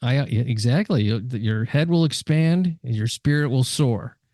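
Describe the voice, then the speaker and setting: Dark and mellow in tone, a man speaks at medium pitch in a dry, close recording with no echo and a quiet background. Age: 70s. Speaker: podcast host. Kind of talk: casual interview chat.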